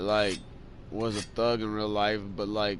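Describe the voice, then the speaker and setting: A man with a fairly low pitch at a moderate pace, audible room echo around him. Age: 20s. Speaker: video game streamer. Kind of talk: casual chat while gaming. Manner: rambling, halting with many fillers.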